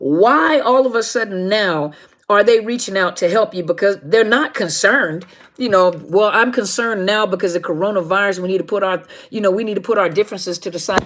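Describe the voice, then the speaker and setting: A woman's ordinary speaking voice, medium in pitch, at a fairly quick pace with ordinary pitch variation. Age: middle-aged. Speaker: life coach on narcissistic abuse. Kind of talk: live stream talk to viewers. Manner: informal, conversational.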